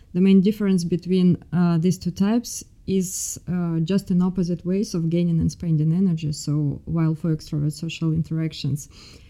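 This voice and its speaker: Woman's dark, mellow voice in a Russian accent, fairly low in pitch, with fairly even intonation at a moderate pace. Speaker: MBA student.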